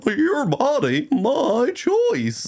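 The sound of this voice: This man puts on a character voice. His pitch is extremely high.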